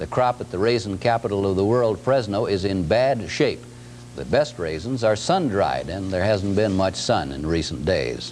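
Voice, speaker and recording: Very wide pitch swings at a moderate pace, with an American accent and music in the background. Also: man, fairly low pitch for a man. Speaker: television news anchor. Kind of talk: local TV newscast anchor read. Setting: vintage 1978 broadcast recording.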